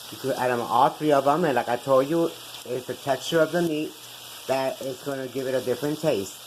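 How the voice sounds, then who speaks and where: A woman with a very deep, low pitch talks at a fairly quick pace over noticeable background noise. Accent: Puerto Rican. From Puerto Rico. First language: Spanish. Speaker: cooking show host. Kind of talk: cooking tutorial. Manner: casual, chatty.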